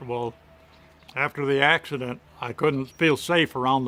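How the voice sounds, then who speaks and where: The talk moves at a fairly quick pace with a Midwestern American accent. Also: man. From Michigan. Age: 70s. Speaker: amputee, retired draft horse owner. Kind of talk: testimonial interview answer.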